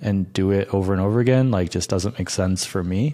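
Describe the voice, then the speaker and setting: A man speaks at a moderate pace in a dark, mellow tone. His pitch is fairly low, with ordinary variation. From upstate New York, Rochester. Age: 30s. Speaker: YouTuber and hiker. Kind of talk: casual chat.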